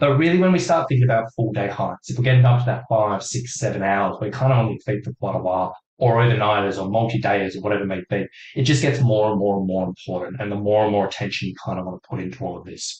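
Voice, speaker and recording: Lively intonation and a somewhat breathy sound carry this man's very fast speech. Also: fairly low pitch for a man. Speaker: hiking fitness coach. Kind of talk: webinar presentation.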